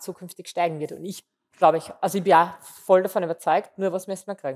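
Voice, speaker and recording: A woman's normal speaking voice, fairly low in pitch, with fairly even intonation. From Austria, southern Waldviertel (Lower Austria); Lower Austria. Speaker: food marketing executive; interview guest. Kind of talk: interview. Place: studio. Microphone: headset.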